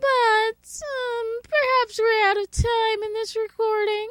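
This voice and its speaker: The pitch here is extremely high, in a put-on character voice. Delivery is very slow. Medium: audio drama. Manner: teasing.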